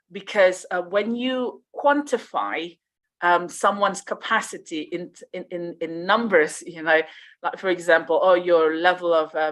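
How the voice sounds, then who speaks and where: Big swings in loudness run through this woman's fairly low voice as she speaks at a fairly slow pace with a Malaysian accent. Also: quiet background. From Riau, Indonesia. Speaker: conference speaker. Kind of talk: conference Q&A answer. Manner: hesitant, many fillers.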